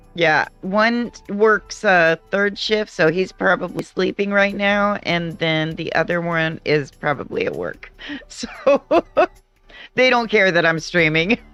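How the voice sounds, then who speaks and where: A woman's medium-pitched voice at a very slow pace, with music in the background. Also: ordinary pitch variation. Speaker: video game streamer. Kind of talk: casual gameplay commentary. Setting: live stream. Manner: loud.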